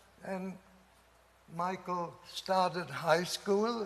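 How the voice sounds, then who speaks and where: Very slow and with fairly even intonation, a man speaks amid audible room echo. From Germany. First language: German. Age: 80s+. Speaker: professor. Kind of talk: speech. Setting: conference audience.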